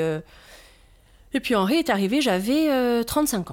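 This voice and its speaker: A woman with a Corsican accent speaks at a fairly slow pace, her pitch swinging very widely, on a very clean recording with a silent background. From Corsica (south). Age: 40s. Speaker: brand founder, mother of four. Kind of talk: casual interview chat.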